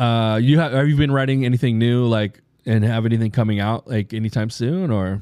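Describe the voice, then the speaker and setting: This man has a plain, everyday voice, a medium pitch with ordinary pitch variation, and a moderate pace. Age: 40s. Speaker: podcast host. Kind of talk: casual chat. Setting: studio.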